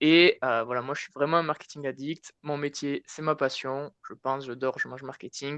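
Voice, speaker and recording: Bright and sharp, the voice carries a southwestern French accent and fairly even intonation, with a dry, close sound and no echo. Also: man. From southwest France, Tarn. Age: 20s. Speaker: marketing consultant, conference speaker. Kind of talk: conference talk. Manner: casual, hesitant with many fillers.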